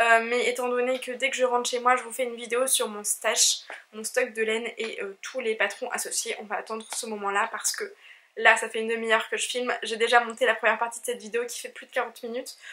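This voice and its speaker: Talking at a very fast pace, a woman uses a fairly high, monotone, flat voice with big swings in loudness. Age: 20s. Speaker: knitting vlogger. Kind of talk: casual vlog talk. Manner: hesitant with fillers.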